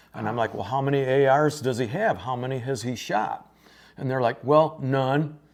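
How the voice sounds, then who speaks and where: This man's voice is an unremarkable speaking voice, delivered at a moderate pace. Its pitch sits in the medium range and varies in an ordinary way. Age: 60s. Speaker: gun store staff / firearms video host. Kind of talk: casual instructional chat.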